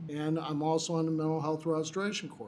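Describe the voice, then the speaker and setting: A man is speaking. There is audible echo from the room. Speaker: attorney and recovery housing director. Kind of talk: public meeting presentation.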